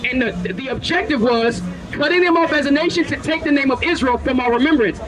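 Noticeable background noise behind a man's speech. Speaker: street preacher. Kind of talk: street preaching, confrontational Bible-based debate with passers-by. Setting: outdoors, street, talking with a crowd or passers-by. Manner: forceful, relentless interrogating, rapid-fire pointed questions; scolding, lecturing, formal vocabulary. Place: street. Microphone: handheld.

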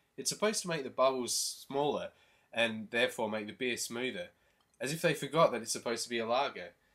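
A man's lively intonation in an Australian accent over a quiet background. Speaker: beer review vlogger. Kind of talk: comedic review monologue. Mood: wry, comedic. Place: home room. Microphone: webcam.

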